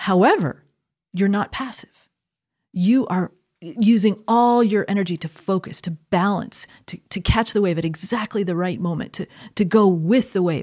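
Over a quiet background, a woman speaks at medium pitch and a moderate pace with ordinary pitch variation. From US Northeast, Connecticut. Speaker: theology professor. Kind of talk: conversational interview on faith; interview answer. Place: studio. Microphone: studio mic.

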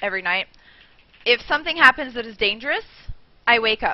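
The woman's speech shows ordinary variation in pitch. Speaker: streamer. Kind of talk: casual vlog chat. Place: home room. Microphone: headset.

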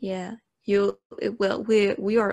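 Pacing herself very slowly, a woman with a non-native accent speaks at a medium pitch in a dry, close sound with no echo. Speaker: podcast co-host. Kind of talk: casual chat. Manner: animated.

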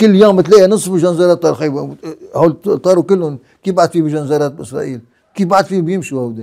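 A man's high-pitched voice with a dark, mellow tone, ordinary pitch variation and a fairly quick pace, over a quiet background. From Lebanon. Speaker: war veteran and founder of a militia organization; interviewee. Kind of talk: interview. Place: home room.

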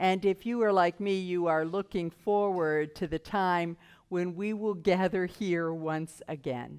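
Delivered at a fairly slow pace, the speech shows ordinary pitch variation. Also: woman. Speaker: minister. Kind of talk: worship welcome and announcements. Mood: warm, calm. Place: church. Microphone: headset.

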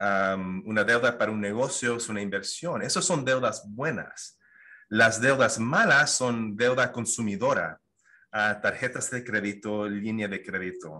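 In a bright, sharp tone, a man speaks at a fairly slow pace over a quiet background. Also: ordinary pitch variation. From Canada, Toronto. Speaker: financial advisor; guest. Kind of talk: interview. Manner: halting, many fillers and repetitions. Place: home room. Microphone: video call.

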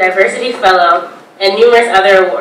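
With audible room echo and light background noise, a woman speaks at a fairly quick pace. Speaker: event host introducing speaker. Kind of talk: formal introduction. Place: classroom. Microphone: podium.

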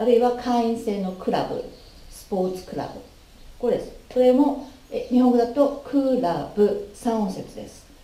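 A woman's high voice with lively intonation, a fairly slow pace and audible room echo. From Japan. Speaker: English pronunciation teacher. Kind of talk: tutorial. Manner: formal. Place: home room. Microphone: camera far.

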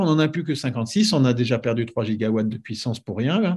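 A man is talking at a moderate pace. His pitch sits in the medium range. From France, Paris region; France. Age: 60s. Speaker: nuclear engineer; guest. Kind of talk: casual interview. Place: home room. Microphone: video call.

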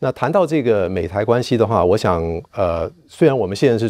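In a dry recording with no echo and a quiet background, a man talks at a fairly quick pace. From Taiwan, Kaohsiung; Taiwan. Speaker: political science professor; guest, professor. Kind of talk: interview; interview answer. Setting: university campus. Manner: halting, many fillers. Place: empty room.

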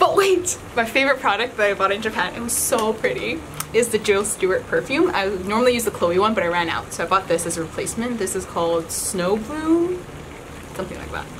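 With noticeable background noise behind her, a woman speaks fairly quickly in a fairly high pitch that swings very widely. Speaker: beauty YouTuber. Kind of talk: casual chat. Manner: laughing often; loud. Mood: cheerful, playful. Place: home room. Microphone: camera far.

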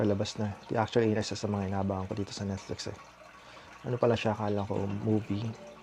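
Quiet and fairly low, a man speaks very fast in a monotone, flat delivery amid noticeable background noise. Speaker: vlogger. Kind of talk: casual vlog narration. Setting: at home at night. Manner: hushed, lowered voice.

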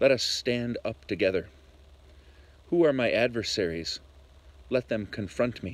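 At a moderate pace, a man speaks in a solemn tone with long, frequent pauses, the sound dry with no echo. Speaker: Lutheran pastor. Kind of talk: prayer and scripture reading in a worship service. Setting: church video recording during pandemic. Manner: fervent, solemn, reverent. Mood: calm, solemn. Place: garden. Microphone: phone near.

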